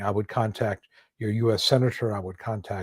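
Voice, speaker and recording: Somewhat breathy and heard with a dry, close sound and no echo, a man speaks at a moderate pace with an American accent. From US South, Atlanta. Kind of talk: livestream Q&A. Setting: online livestream. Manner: casual, filler-heavy.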